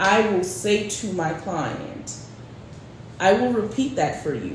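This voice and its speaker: Against noticeable background noise and audible room echo, a woman speaks at a very slow pace and medium pitch. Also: lively intonation. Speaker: real estate agent. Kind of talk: casual chat.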